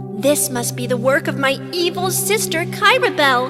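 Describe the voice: Over loud background music, a cartoonish character voice speaks at a moderate pace. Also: woman.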